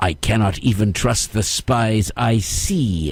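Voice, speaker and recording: Growling in a put-on character voice, a man speaks at medium pitch and a fairly slow pace with ordinary pitch variation. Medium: read story. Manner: snarling, sneering.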